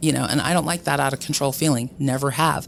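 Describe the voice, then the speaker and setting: Music in the background behind a woman's very deep, low pitch, at a fairly quick pace with ordinary pitch variation. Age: middle-aged. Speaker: medical cannabis patient. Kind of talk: interview. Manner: loud; energetic.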